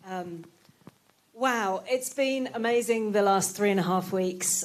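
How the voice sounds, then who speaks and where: With a British accent, a woman speaks at a medium pitch. Her pace is fairly slow and her intonation fairly even. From Britain. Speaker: palliative care doctor. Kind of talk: closing speech at event. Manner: hesitant, many fillers.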